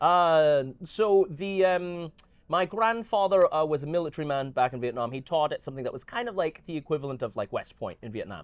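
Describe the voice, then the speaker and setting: A man with an American accent, his pitch fairly high, his intonation lively, his tone animated and his pace fairly quick. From Glasgow, Scotland and Southern California. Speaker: magician. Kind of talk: casual interview. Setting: aboard a cruise ship. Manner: animated, many fillers.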